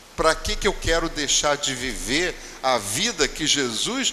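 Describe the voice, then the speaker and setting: Against noticeable background noise, a man speaks at a fairly slow pace with very wide pitch swings. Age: 70s. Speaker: spiritist lecturer. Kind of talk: religious talk. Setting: spiritist center.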